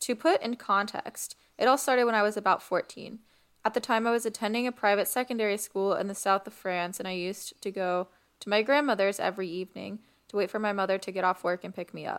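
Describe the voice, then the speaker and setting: Playful in tone, a woman races along at a very fast pace on a very clean recording with a silent background. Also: medium pitch for a woman, ordinary pitch variation. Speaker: podcast host. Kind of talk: casual podcast chat with reading Reddit stories aloud. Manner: playful, laughing banter.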